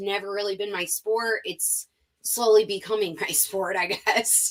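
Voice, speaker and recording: This woman has an American accent and a fairly high pitch. Her tone is bright, sharp and animated. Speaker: sports betting reporter and host. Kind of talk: podcast interview.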